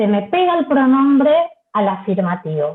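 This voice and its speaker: The voice moves through very wide pitch swings at a fairly slow pace. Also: woman. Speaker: Spanish teacher trainer. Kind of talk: lecture.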